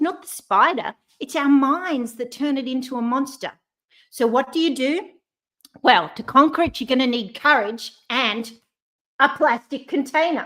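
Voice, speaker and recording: Her tone is animated as a woman speaks with a high pitch. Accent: Australian. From Australia. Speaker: courage coach, speaker. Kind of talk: motivational talk. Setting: online live stream.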